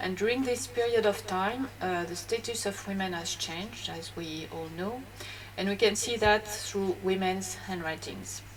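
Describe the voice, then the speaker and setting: Someone speaks at a fairly slow pace in a French accent. Audible room echo surrounds the voice. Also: woman. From France. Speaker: graphologist. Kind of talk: educational talk. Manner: hesitant, many fillers.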